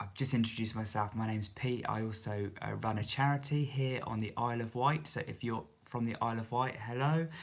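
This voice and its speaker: A soft-spoken man talks at a medium pitch with ordinary pitch variation. The recording is very clean, with a silent background. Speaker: YouTuber and charity leader. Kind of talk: live stream Q&A. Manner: hesitant, many fillers.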